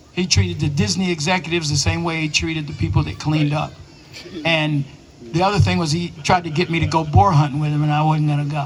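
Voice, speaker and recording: Noticeable background noise runs beneath a man speaking at a very fast pace. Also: ordinary pitch variation. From East Tennessee, Smoky Mountains. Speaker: actor. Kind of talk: panel Q and A storytelling.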